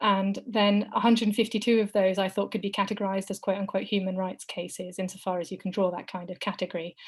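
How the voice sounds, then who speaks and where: A woman's somewhat breathy, medium-pitched voice at a very fast pace in a monotone, flat intonation. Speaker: law lecturer. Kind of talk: webinar talk.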